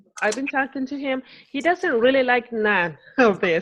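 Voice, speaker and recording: Speaking with a Spanish accent, a woman uses a high pitch and lively intonation. The background is quiet. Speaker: new fitness coach. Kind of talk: group call discussion.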